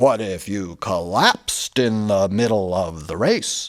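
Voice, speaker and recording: Using a put-on character voice, a man speaks fairly slowly at a fairly low pitch with ordinary pitch variation. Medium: read story. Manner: dismissive.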